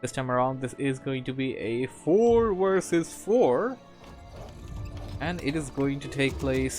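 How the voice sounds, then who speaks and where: Over music in the background, a man speaks at a fairly slow pace with a medium pitch and ordinary pitch variation. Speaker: esports game commentator (shoutcaster). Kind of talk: live game commentary, energetic casting.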